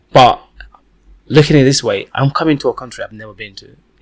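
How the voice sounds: A man at medium pitch and a fast pace. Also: ordinary pitch variation.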